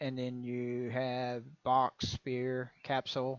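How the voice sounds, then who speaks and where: A man with a Texan accent and a medium pitch, the sound dry and close with no echo, over a quiet background. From Texas. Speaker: game engine tutorial maker. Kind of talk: tutorial. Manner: casual, conversational.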